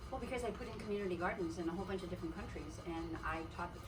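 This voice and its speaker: A woman rattles off her words at a very fast pace amid noticeable background noise and audible room echo. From Canada. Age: 70s. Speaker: artist and vendor. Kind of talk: casual chat.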